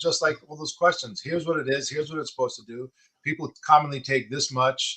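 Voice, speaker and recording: A man with a New York accent, a bright, sharp tone and ordinary pitch variation. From Long Island, New York. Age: 60s. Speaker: person with Parkinson's and coach. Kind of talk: casual interview chat.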